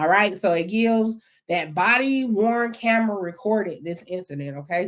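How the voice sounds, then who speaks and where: Speaking at a moderate pace, a woman uses an unremarkable speaking voice with a fairly high pitch and lively intonation. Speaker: YouTube commentator on court records. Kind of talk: commentary reading court documents.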